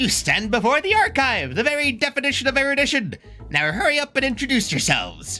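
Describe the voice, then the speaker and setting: A man's put-on character voice at a moderate pace, with faint music in the background. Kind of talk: grandiloquent, formal. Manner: silly, pompous.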